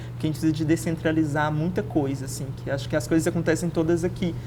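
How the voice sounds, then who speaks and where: A woman speaks in a very deep, low pitch with monotone, flat intonation, over noticeable background noise and audible room echo. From Belo Horizonte, Minas Gerais, Brazil (north zone). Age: 20s. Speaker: activist and historian. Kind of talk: casual interview.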